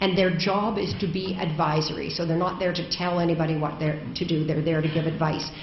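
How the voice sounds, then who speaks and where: Monotone, flat delivery in a Canadian accent at a fairly quick pace, very even in loudness, with audible room echo and noticeable background noise. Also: woman, fairly low pitch for a woman. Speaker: education advocate, keynote speaker. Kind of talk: conference keynote speech. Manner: hesitant, many ums.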